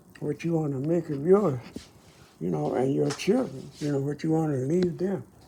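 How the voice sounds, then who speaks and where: A man speaks at a fairly high pitch with lively intonation, in a dark, mellow tone that is somewhat breathy. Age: 80s+. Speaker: Korean War veteran. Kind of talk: personal reflection to camera. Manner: halting.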